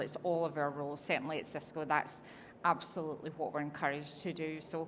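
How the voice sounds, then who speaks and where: A woman speaks in a Scottish accent at a fairly low pitch. Audible room echo surrounds her voice. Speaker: technology executive. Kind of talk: on-stage interview. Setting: conference stage with audience.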